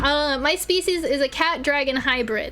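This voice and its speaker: A woman with an American accent uses a raised, projected voice, high in pitch with ordinary variation, speaking fairly slowly over noticeable background noise. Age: 20s. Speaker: vtuber streamer. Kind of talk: casual live stream chat. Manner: animated.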